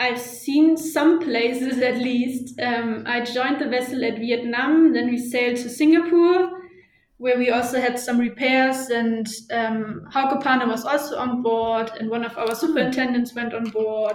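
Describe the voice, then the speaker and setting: Speaking fairly slowly with a German accent, a woman uses a high pitch and fairly even intonation, with audible room echo and noticeable background noise behind her. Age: 20s. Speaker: shipping office employee. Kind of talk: interview. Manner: hesitant with fillers.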